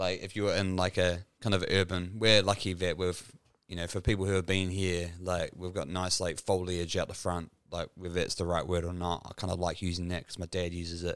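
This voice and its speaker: A man's very deep, low voice with a New Zealand accent, fairly quick and flat in a monotone, on a very clean recording with a silent background. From New Zealand, Dunedin. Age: 30s. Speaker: podcast host. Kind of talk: casual chat. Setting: home studio.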